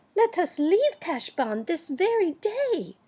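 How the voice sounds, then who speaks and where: Using a put-on character voice, a woman speaks squeaky and extremely high, her pitch swinging very widely at a fairly slow pace. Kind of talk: archaic courtly speech. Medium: read story.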